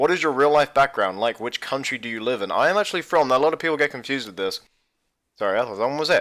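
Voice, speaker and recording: A man's very fast, lively voice, fairly high in pitch, on a very clean recording with a silent background. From England. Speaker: gaming YouTuber. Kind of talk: casual Q&A. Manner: casual, hesitant with fillers.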